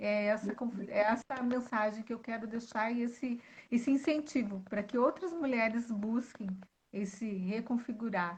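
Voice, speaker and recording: A woman speaks in a strong gaúcho accent at a moderate pace. Her pitch is fairly high, with ordinary variation. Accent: gaúcho, southern Brazilian, still strong. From Rio Grande do Sul, southern Brazil. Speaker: author and speaker on women's identity. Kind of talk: live-stream interview. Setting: online live stream. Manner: elegant, refined.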